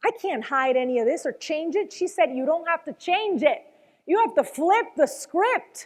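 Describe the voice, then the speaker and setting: In a very clean recording with a silent background, a woman with a slight Venezuelan accent talks at a moderate pace, her extremely high pitch making very wide swings in an animated tone. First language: Spanish. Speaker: motivational speaker, former news anchor. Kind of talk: motivational talk.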